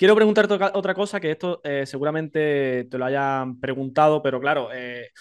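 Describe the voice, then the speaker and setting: Over a quiet background, a man speaks. His pace is fairly quick. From Spain. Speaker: podcast interviewer. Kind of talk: casual interview. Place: home room. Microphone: studio mic.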